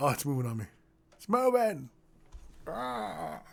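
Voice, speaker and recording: A man's put-on character voice, medium-pitched, at a moderate pace. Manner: gruff, menacing, cartoonish.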